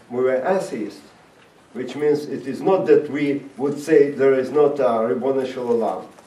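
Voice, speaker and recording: Amid noticeable background noise and audible room echo, a man with a non-native accent speaks at a fairly slow pace, his fairly high pitch showing ordinary variation. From Latvia (Riga), Soviet Union. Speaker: rabbi and former Soviet prisoner. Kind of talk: talk to high school students. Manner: halting, many fillers.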